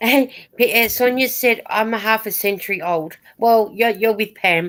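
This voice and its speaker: This woman has a plain, everyday voice, fairly high in pitch with ordinary variation. She keeps a moderate pace and very even loudness. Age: 60s. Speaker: knitting vlogger. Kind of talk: casual chat. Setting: live stream.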